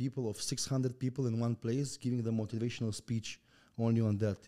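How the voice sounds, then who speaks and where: This man speaks very fast with a Russian accent at a medium pitch. His tone is dark and mellow. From Turkmenistan. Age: 20s. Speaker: entrepreneur and motivational speaker. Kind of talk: podcast interview. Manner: energetic; halting.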